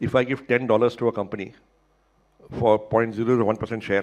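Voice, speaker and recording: A man with an Indian accent speaks at a very fast pace in a medium pitch, his intonation monotone and flat. Long pauses come often. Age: 60s. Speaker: internet entrepreneur. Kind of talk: panel interview at a summit.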